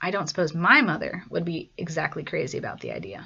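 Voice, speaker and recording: A raspy, put-on character voice at a middle pitch races along at a very fast pace. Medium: read story.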